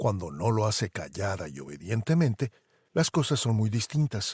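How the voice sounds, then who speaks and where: On a very clean recording with a silent background and a dry, close sound with no echo, a man speaks at a moderate pace with a medium pitch, a dark, mellow tone, a somewhat breathy quality and lively intonation. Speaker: podcast host and narrator. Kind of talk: podcast commentary narration.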